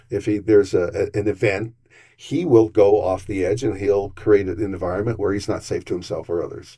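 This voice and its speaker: A man's medium-pitched, somewhat breathy voice with a dark, mellow tone, ordinary pitch variation and a fairly quick pace over a quiet background. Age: 60s. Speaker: city council candidate. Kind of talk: interview.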